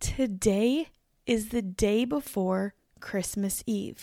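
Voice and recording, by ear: On a very clean recording with a silent background, a woman speaks slowly at a medium pitch in a dark, mellow tone that is raspy with vocal fry and has ordinary pitch variation.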